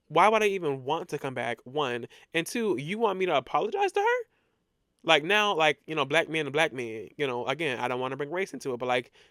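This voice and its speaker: A loud, fairly high male voice, bright and sharp, with lively intonation and a fairly quick pace, in a very clean, silent-backed recording with a dry, close sound and no echo. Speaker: podcast host. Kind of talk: casual storytelling monologue. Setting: alone in a room recording. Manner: loud, animated.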